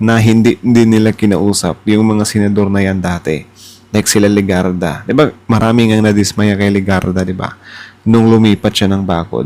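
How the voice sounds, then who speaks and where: This man has a dark, mellow tone and a fairly low pitch. He talks at a moderate pace with fairly even intonation. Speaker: political reaction YouTuber. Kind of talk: casual reaction commentary.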